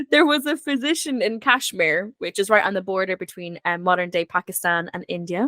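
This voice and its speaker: In an Irish accent, a woman speaks at a fairly quick pace with hardly any pauses, her medium pitch carrying lively intonation. Her tone is bright and sharp, and the sound is dry and close with no echo. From Ireland. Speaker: historian guest. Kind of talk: casual chat.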